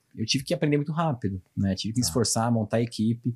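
Against a quiet background, a man speaks at a very fast pace and medium pitch, sounding somewhat breathy. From Brazil, São Paulo. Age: 30s. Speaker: logistics director; guest. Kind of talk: interview. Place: studio. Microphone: studio mic.

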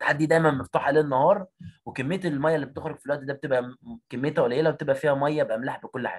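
A man with an Egyptian accent speaks very fast, his intonation fairly even. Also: fairly high pitch for a man. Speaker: biology teacher. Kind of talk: online exam revision lesson. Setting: video call. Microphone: audio cutting out.

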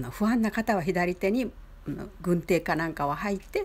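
In a medium pitch, a woman talks at a fairly slow pace. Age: 70s. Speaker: flower arrangement teacher. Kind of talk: tutorial. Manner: polite.

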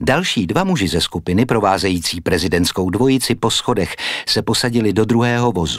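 A man speaks at a fairly quick pace with a dramatic tone. His intonation is lively and his loudness stays very even. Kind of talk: audiobook narration, scripted reading aloud. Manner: measured, formal, storytelling pace with dramatic, suspenseful delivery.

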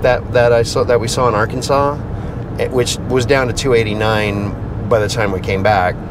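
A man's fairly even-toned voice, dry with no echo, against noticeable background noise. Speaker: vlogger. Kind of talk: casual vlog chat. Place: car. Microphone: lapel.

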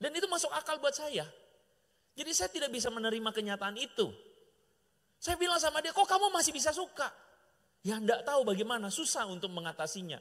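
Over a quiet background, a man speaks at an extremely high pitch and a very fast pace. His tone is animated, with very wide pitch swings. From Indonesia. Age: middle-aged. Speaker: pastor. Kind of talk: sermon. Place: church. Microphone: handheld.

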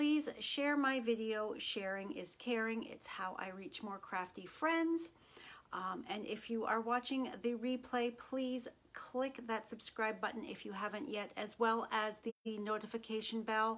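A woman talks with ordinary pitch variation at a fairly slow pace. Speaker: craft demonstrator. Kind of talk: casual live stream chat. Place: home room.

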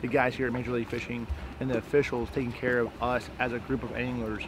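A man's voice comes through in a dry sound with no echo, with noticeable background noise. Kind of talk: casual vlog chat. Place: boat. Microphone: lapel.

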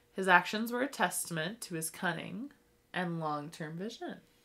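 With a bright, sharp tone, a woman speaks with lively intonation. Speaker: podcast co-host. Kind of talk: casual chat. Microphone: new mic.

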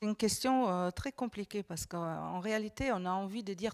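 A woman at a moderate pace with ordinary pitch variation against a quiet background. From Germany. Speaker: politician; panelist. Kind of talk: panel discussion. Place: studio. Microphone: handheld.

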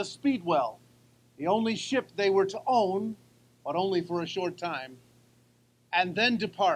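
His pitch shifts in an ordinary way. The man keeps a moderate tempo. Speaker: speaker. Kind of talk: sermon-style historical address. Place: open country. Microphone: podium.

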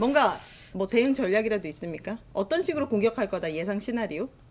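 A woman is speaking. Her pitch swings very widely. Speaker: union leader and show host; show host. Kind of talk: casual talk show discussion. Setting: studio. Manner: animated. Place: studio. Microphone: studio mic.

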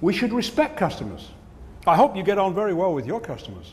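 Speaking very fast in an Australian accent, a man's voice slips into vocal fry. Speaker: keynote speaker. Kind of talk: humorous keynote speech. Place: stage. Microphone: lapel.

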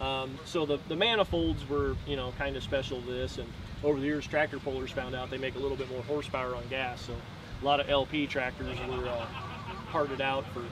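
A man at a fairly quick pace, ordinary pitch variation, dry sound with no echo, and noticeable background noise. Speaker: tractor owner. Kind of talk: interview answer. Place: open country.

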